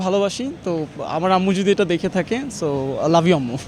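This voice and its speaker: A man with lively intonation, over noticeable background noise. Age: 20s. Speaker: shopper interviewed in street vox pop. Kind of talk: street interview.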